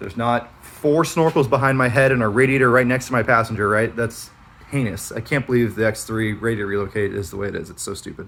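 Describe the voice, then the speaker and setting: The speech comes at a very fast pace with big swings in loudness. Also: man, medium pitch for a man, ordinary pitch variation. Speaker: off-road vehicle reviewer. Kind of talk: product review walkaround. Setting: garage. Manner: casual, filler-heavy.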